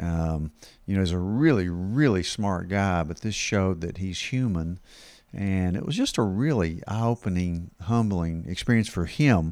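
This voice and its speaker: A man talks at a moderate pace in a very deep, low pitch with ordinary pitch variation. The recording is very clean, with a silent background. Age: 60s. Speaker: family doctor. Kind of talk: casual podcast interview. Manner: informal.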